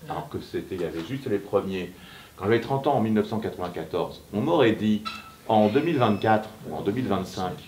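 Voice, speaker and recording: A man with a medium pitch keeps a moderate pace over noticeable background noise. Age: 60s. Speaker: writer. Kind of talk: author talk with students. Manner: hesitant, many fillers.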